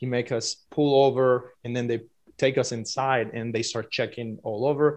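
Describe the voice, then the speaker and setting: Against a quiet background, a man with a Spanish accent talks at a moderate pace in a monotone, flat intonation. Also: medium pitch for a man. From Cuba. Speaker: filmmaker. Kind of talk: interview.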